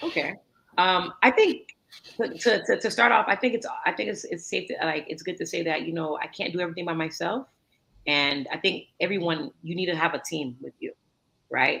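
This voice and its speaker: The speaker has an American accent and an animated tone, talking at a moderate pace. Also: woman, fairly low pitch for a woman, lively intonation. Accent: thick American accent when speaking Creole. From US, North Miami (Haitian-American). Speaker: entrepreneur in waste management. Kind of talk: interview conversation. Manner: animated, repetitive fillers.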